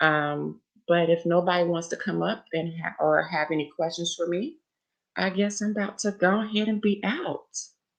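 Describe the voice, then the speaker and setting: Over a quiet background, a woman speaks at a fairly low pitch with ordinary pitch variation. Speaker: livestreamer. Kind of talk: casual livestream talk. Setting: live stream. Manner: fast.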